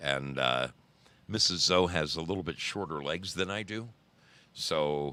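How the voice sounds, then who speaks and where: The voice has a bright, sharp tone with vocal fry and lively intonation. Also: man. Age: 60s. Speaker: livestream host, motorcyclist. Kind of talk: casual live-stream chat. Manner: halting, self-correcting.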